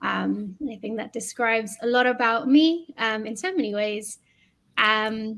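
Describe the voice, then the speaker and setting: A woman's fairly high voice in a London accent, at a fairly slow pace with ordinary pitch variation. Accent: British (London). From London, England. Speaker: educator. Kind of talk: podcast conversation.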